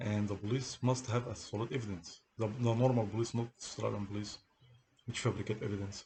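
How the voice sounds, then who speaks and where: Male voice, dark and mellow, with medium pitch, monotone, flat intonation and a fairly quick pace. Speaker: person telling of a police case against him. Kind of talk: monologue recounting a personal grievance. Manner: halting, repeats words.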